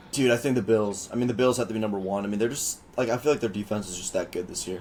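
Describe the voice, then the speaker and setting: A man rattles along at a very fast clip in a fairly low pitch while noticeable noise fills the background. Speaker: sports podcast co-host. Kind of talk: casual chat. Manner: animated.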